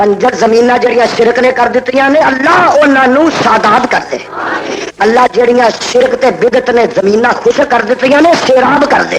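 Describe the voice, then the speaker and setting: A man's extremely high-pitched voice, passionate in tone, with fairly even intonation, very even loudness, and noticeable background noise. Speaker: Islamic scholar giving a sermon. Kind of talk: religious sermon to a live crowd, Punjabi-Urdu. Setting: outdoor or hall public gathering, 1980 archival recording. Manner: passionate, emphatic, commanding.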